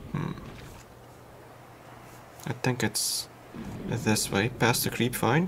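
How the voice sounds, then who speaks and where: A man speaks at a very slow pace with a medium pitch and a soft-spoken delivery. His intonation is lively, broken by long, frequent pauses. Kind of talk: casual gameplay commentary, thinking aloud while playing. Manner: soft-spoken, calm, quiet.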